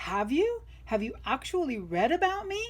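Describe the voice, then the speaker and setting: A woman does a put-on character voice at a high pitch, her pitch swinging very widely. She keeps a moderate pace over light background noise. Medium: read story. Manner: brash, slangy.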